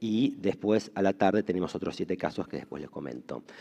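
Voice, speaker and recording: A man's dark, mellow, fairly low voice, fairly quick in pace, with lively intonation. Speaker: conference moderator, economist. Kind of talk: conference moderation. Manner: halting, many fillers.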